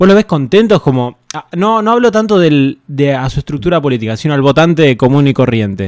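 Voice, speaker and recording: A man talks at a fairly quick pace with hardly any pauses, his fairly high voice swinging very widely in pitch. The sound is dry with no echo, against a quiet background. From Argentina. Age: 20s. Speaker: streamer and interviewer; streamer, interviewer. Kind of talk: casual livestream interview. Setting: livestream. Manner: hesitant, many fillers like eh and tipo. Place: home room. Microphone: studio mic.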